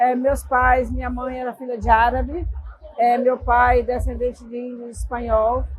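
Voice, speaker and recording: A woman's voice at a fairly slow pace. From Brazil, southern Bahia (Ibirataia). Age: 60s. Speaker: ceramic sculptor. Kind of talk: interview. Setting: podcast booth at a chocolate festival.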